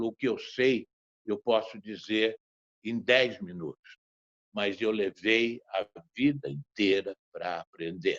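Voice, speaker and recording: Recorded with a dry, close sound and no echo, a man talks very slowly with long, frequent pauses, his fairly low pitch showing ordinary variation. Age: 80s+. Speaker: theatre director. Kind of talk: panel talk.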